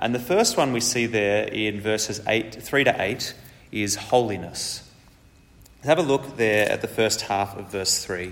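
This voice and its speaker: A man's fairly low voice at a fairly slow pace, with ordinary pitch variation and audible room echo. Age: 30s. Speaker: preacher. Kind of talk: sermon.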